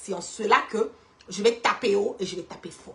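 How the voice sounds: The voice is bright and sharp, with vocal fry, ordinary pitch variation and a fairly quick pace. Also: woman, medium pitch for a woman.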